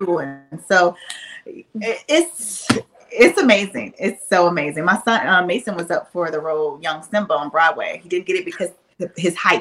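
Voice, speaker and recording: Speaking with a Southern US accent, a woman talks at a moderate pace with medium pitch and ordinary pitch variation. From Alabama, US South. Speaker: reality TV cast member. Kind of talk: casual chat.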